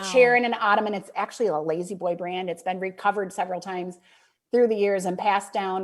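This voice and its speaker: A woman talks at a very fast pace with a Midwestern accent, her pitch medium and her intonation fairly even. The recording is very clean, with a silent background. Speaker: author and speaker. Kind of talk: podcast interview answer.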